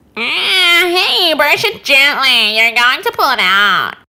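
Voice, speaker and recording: A put-on character voice moves at a fairly slow pace with very wide pitch swings and very even loudness. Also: woman, high pitch for a woman. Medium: read story. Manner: bossy, sneering.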